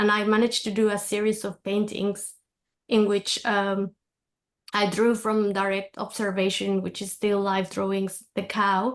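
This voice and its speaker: Against a quiet background, a woman talks at a fairly slow pace. Her intonation is monotone and flat. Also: medium pitch for a woman. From Mexico City, Mexico. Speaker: artist and anthology contributor. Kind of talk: personal presentation at virtual book launch. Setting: video call. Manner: halting, many fillers.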